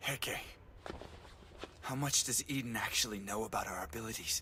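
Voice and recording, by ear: A man speaks in a cartoonish character voice at medium pitch and a moderate pace, with clear background noise.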